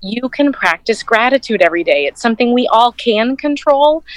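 The speaker has an ordinary speaking voice at a moderate pace. The sound is dry and close with no echo. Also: woman. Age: 40s. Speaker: corporate professional and counseling student. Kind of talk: interview.

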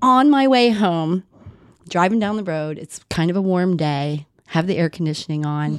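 A woman talks at a moderate pace with lively intonation and a fairly low pitch. Her loudness swings widely against a quiet background. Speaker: podcast host. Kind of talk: interview conversation. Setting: on location at a farm. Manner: animated.

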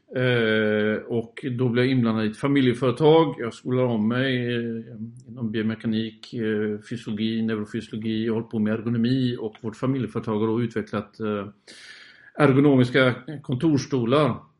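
A man talks in an unremarkable speaking voice. His pitch is medium and his pace moderate. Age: 50s. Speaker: landscape photographer. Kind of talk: interview.

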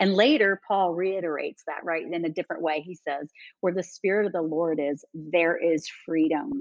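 Here is a woman with a fairly low pitch and an ordinary speaking voice. She talks at a moderate pace with ordinary pitch variation. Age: 50s. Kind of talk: casual interview conversation.

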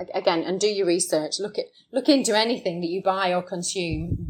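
A woman talks at a moderate pace. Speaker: shark conservation charity co-founder. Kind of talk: interview. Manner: hesitant, with many repeats and fillers.

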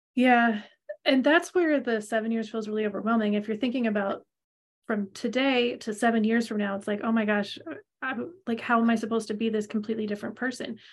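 In an unremarkable speaking voice, a woman talks at a fairly high pitch and a fairly quick pace, with fairly even intonation. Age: 40s. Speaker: podcast co-host, human design reader. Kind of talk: casual chat.

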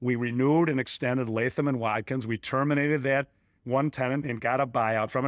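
A man with a Chicago accent speaks at a fairly quick pace with fairly even intonation. The recording is very clean, with a silent background. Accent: Chicago American. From Chicago area, Illinois. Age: 60s. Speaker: commercial real estate broker. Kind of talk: interview.

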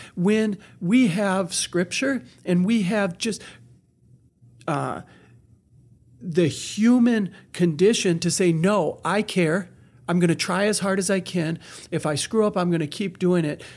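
On a very clean recording with a silent background, a man with an American accent and a high pitch speaks at a fairly slow pace, with ordinary pitch variation and long, frequent pauses. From Wisconsin, US. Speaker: nonprofit executive director. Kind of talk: casual interview.

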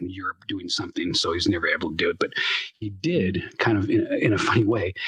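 Speaking at a very fast pace, a man talks. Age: 50s. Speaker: voice actor and world builder. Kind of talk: casual interview chat. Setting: virtual world, live online recording.

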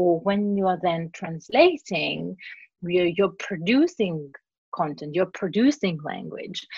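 Somewhat breathy, a woman speaks with a Greek accent at a fairly low pitch. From Cyprus and Greece. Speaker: translator and interpreter. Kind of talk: casual interview. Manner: animated.

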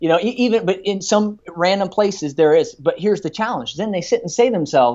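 A man with a high pitch talks very fast with lively intonation. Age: 30s. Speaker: chiropractor. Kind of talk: interview. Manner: animated; halting.

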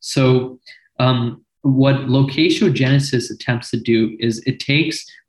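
A somewhat breathy man's voice of medium pitch at a fairly slow pace. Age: 20s. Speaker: quantum computing researcher and entrepreneur. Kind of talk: interview. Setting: video call.

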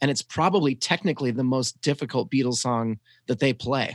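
A man speaks with an American accent at a medium pitch and moderate pace. The sound is dry and close, with no echo. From US South. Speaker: podcast host. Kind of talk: casual chat about music. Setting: video call.

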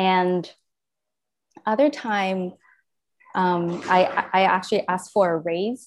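At a very slow pace with long, frequent pauses, a woman speaks in a medium voice with ordinary pitch variation. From Japan. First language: Japanese. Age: 30s. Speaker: yoga teacher. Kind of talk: interview. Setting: video call. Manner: frequent ums, hesitant.

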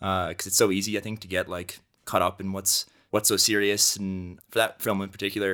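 Bright and sharp in tone, a man's fairly low-pitched voice has an American accent and a fairly quick pace. His intonation is monotone and flat, on a very clean recording with a silent background. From US Northeast (Cornwall, New York). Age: 20s. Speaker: photographer and filmmaker. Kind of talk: casual interview chat.

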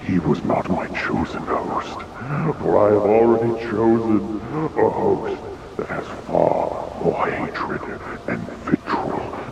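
Using a put-on character voice, a man speaks at a fairly slow pace with long, frequent pauses, clear echo and clear background noise.

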